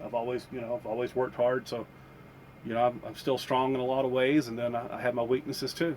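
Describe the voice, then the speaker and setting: Here a man talks with a Southern US accent. His pace is fairly quick. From US South. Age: 50s. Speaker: vlogger. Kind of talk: casual chat. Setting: inside a campervan. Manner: halting.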